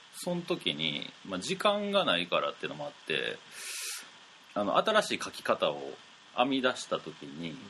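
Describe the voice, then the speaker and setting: Delivered at a moderate pace in a Kansai accent, the speech shows big swings in loudness. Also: man. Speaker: radio host. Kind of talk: casual chat.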